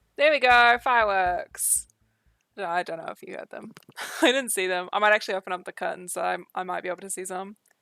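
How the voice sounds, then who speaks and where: In a New Zealand accent, a woman with a medium pitch and bright, sharp tone speaks at a very fast pace, with ordinary pitch variation, big swings in loudness, and a dry, close sound without echo. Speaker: streamer. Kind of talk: casual chat. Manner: slurred.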